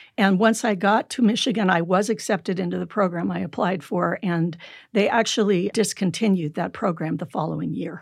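A woman with an American accent and vocal fry speaks at a fairly quick pace and medium pitch with ordinary pitch variation, on a very clean recording with a silent background. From California. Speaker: psychologist. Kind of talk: interview.

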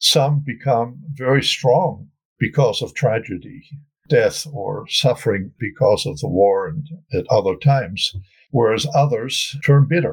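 In a German accent, a man with a fairly high, somewhat breathy voice talks at a fairly slow pace with ordinary pitch variation. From Germany, Wuppertal. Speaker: family historian. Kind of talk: interview.

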